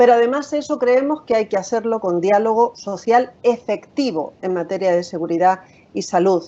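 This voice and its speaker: At a moderate pace, a woman talks with a fairly high pitch and lively intonation. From Spain. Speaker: occupational safety and health specialist. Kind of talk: webinar presentation. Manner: frequent filler hesitations.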